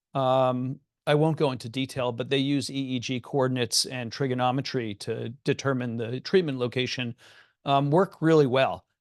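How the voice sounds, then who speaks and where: A man speaks at a medium pitch with fairly even intonation. The background is quiet. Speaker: psychiatrist. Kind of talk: lecture. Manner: fast.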